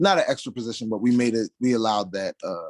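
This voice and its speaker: A man speaks at a fairly quick pace, the sound dry and close with no echo. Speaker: job interview candidate. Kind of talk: job interview. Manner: mumbles a little.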